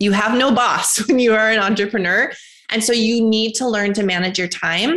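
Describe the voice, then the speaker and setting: Speaking with an American accent, a woman uses a plain, everyday voice at a fairly high pitch, with very even loudness, a moderate pace and ordinary pitch variation. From US Midwest (North Dakota). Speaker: entrepreneur. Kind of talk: interview.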